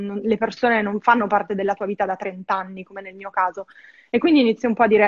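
Very fast and fairly high-pitched, a woman's voice comes through dry and close with no echo. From northern Italy, Verona. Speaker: expat guest, film restorer. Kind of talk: casual interview. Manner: fast, hesitant with fillers.

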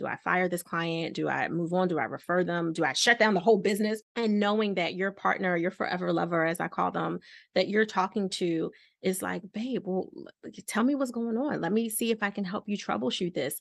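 With ordinary pitch variation around a medium pitch, a woman speaks in a normal speaking voice. Her pace is fairly quick, and the background is quiet. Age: 40s. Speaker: relationship and balance coach. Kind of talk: interview.

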